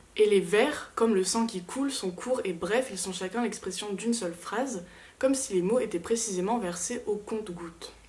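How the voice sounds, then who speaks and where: The voice shows ordinary pitch variation, and audible room echo can be heard. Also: woman. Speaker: literature student youtuber. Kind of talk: rehearsed class presentation. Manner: fast; hesitant fillers.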